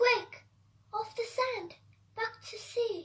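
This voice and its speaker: A put-on character voice, female-sounding and extremely high in pitch. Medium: read story.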